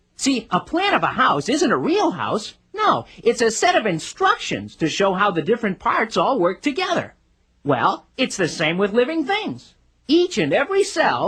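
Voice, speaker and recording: A cartoonish character voice pitched fairly high, delivered at a moderate pace. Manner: showy, self-satisfied.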